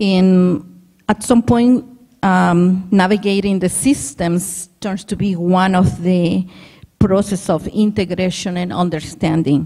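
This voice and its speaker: A woman's somewhat breathy voice at medium pitch, dark and mellow in tone, with ordinary pitch variation and a very slow pace. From Mexico. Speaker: immigrant parent presenter. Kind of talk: conference presentation.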